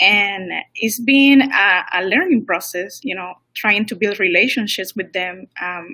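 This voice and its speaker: The speaker has a Spanish accent and a bright, sharp tone. The pace is fairly slow, with ordinary pitch variation. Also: woman, medium pitch for a woman. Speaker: language teacher. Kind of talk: casual interview.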